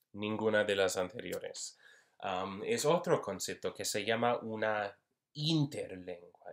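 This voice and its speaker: A man talks with an English accent. The recording is very clean, with a silent background. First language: English (speaking Spanish). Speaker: university Spanish linguistics instructor. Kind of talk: lecture. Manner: halting, many fillers.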